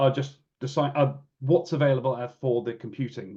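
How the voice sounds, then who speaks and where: Moving at a moderate pace, the voice has a dark, mellow tone. It is somewhat breathy. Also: man. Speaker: real-time computing engineer presenting at a webinar. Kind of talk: technical webinar presentation. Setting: online webinar. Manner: halting, many fillers and restarts.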